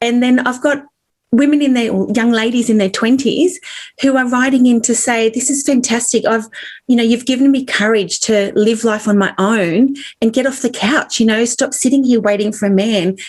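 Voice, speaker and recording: A high-pitched woman with an Australian accent at a moderate pace, her loudness very even and her intonation fairly even. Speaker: author. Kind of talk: interview.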